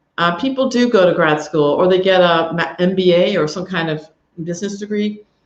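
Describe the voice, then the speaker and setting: A woman with an American accent talks in a plain, everyday voice, medium in pitch and moderate in pace. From United States. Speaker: professor. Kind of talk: info session presentation.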